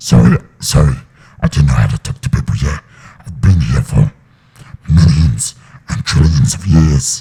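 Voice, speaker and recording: Adopting a put-on character voice, a man growls out raspy words at a very deep, low pitch. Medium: read story. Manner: theatrical, lordly.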